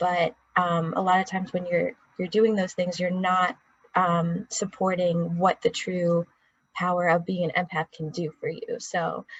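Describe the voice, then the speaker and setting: A woman talks at a fairly slow pace with a fairly low pitch. Her voice is somewhat breathy, with monotone, flat intonation. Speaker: podcast co-host. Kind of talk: casual chat.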